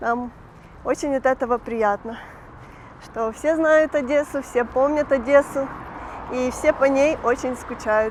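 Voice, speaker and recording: A woman's high-pitched voice with fairly even intonation, against noticeable background noise. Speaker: vlogger. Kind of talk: walking vlog narration. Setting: outdoors, walking the streets.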